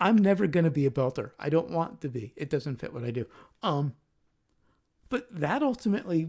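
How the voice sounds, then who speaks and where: Soft-spoken and fairly quick, a man talks in a fairly high voice. His pitch swings very widely in a very clean recording with a silent background. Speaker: podcast host and musician. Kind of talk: casual chat. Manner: hesitant, many ums.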